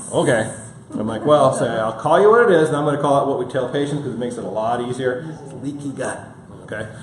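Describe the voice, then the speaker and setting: In an American accent, a man speaks very fast at a medium pitch with ordinary pitch variation and big swings in loudness, with audible room echo and noticeable background noise. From Michigan. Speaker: functional medicine practitioner. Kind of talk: health seminar lecture.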